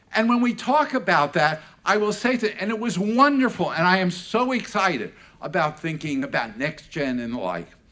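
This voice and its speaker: A bright, sharp voice is raised and projected, animated in tone, with very wide pitch swings. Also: man, high pitch for a man, moderate pace. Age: 70s. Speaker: learning industry analyst and speaker. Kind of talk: conference closing keynote. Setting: stage with audience.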